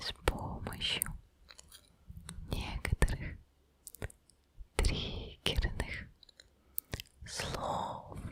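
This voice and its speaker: Whispering in a gentle tone, a woman speaks very slowly with long, frequent pauses against noticeable background noise. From Udmurtia, Russia. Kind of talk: ASMR trigger words for sleep. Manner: whispered, soft, gentle.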